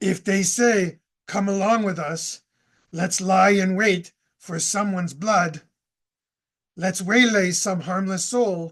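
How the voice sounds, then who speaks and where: A cartoonish character voice speaks at a middle pitch and a fairly slow pace. Long, frequent pauses break up the speech. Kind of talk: scripture reading. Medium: puppet. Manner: hesitant.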